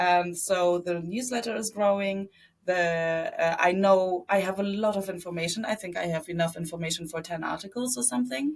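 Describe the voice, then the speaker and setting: Speaking with a German accent, a woman of medium pitch keeps a moderate pace with hardly any pauses and ordinary pitch variation. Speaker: media entrepreneur. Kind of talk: interview. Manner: halting, many fillers.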